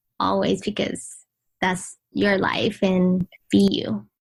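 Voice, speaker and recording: A somewhat breathy woman at a very slow pace, monotone and flat, against a quiet background. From Vietnam, then Washington DC from age 8. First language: Vietnamese. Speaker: blogger and influencer. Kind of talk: podcast interview.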